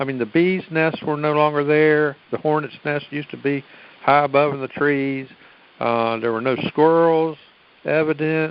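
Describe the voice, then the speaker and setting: This man has a fairly high pitch and a Southern US accent. He keeps a moderate pace with fairly even intonation. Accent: Southern twang. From US South, Virginia. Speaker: caller. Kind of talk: casual chat. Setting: phone conference.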